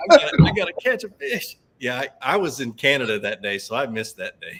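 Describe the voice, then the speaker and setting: A man talks at a very fast pace in a Southern US accent. His loudness swings widely. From US South. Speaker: fishing show host. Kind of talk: casual chat. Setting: live video stream.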